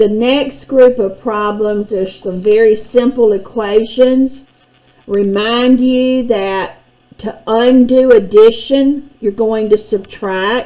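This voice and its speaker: A woman talks at a very slow pace with a fairly high pitch. Her intonation stays fairly even. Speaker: math teacher. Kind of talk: tutorial.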